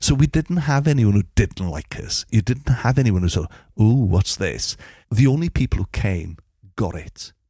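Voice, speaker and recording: The voice carries a Welsh accent, a dark, mellow tone and a somewhat breathy quality. Its pitch swings very widely over a quiet background. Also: man, medium pitch for a man, moderate pace, dry, close sound with no echo. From Mid Wales. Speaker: musician and radio DJ. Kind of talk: casual interview. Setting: at his home.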